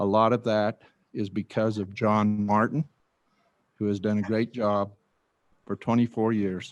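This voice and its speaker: A man with an American accent at a fairly slow pace, in a dry, close sound with no echo. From western Colorado, US. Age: 60s. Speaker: county commissioner. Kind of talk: candidate forum opening statement.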